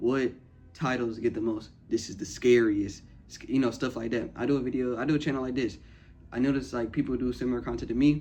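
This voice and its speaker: Very fast speech from a man of medium pitch, fairly even intonation, with music in the background. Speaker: small YouTube content creator. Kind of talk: casual advice monologue. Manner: casual, filler-heavy.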